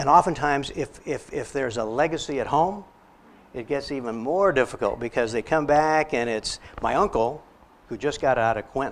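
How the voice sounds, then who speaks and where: Using an unremarkable speaking voice, a man with an American accent talks at a moderate pace with ordinary pitch variation. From Texas border. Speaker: psychologist. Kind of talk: lecture.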